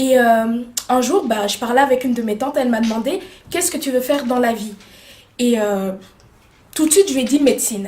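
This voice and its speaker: Loudness swings widely as a high-pitched woman speaks at a moderate pace with ordinary pitch variation. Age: 20s. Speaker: makeup artist and beauty student. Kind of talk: interview. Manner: hesitant, many fillers.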